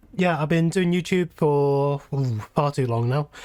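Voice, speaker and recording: A man speaks with a British accent. His pitch sits fairly high. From UK. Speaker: YouTuber and game modder. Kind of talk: casual chat.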